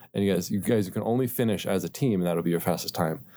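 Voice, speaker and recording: On a very clean recording with a silent background, a man with an American accent speaks in a fairly low voice with a dark, mellow tone and ordinary pitch variation. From northeast Ohio, Akron area. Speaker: software developer, church volunteer. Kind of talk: interview testimony.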